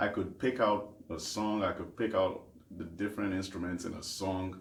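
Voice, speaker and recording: A man with a Nigerian accent, very deep and low in pitch, with fairly even intonation at a moderate pace, amid audible room echo. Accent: Nigerian (Yoruba) English. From Nigeria, Lagos. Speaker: gospel singer and worship leader. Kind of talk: interview.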